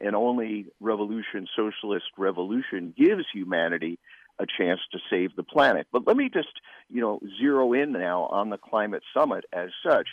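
A plain, everyday voice from a man, fairly low in pitch, at a moderate pace with ordinary pitch variation. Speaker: political writer. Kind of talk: interview. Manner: articulate.

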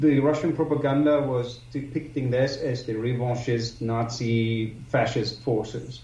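A man with a German accent speaks at medium pitch in a dark, mellow tone. His voice is somewhat breathy, and his intonation fairly even. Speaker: publisher and historical researcher. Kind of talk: interview. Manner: halting.

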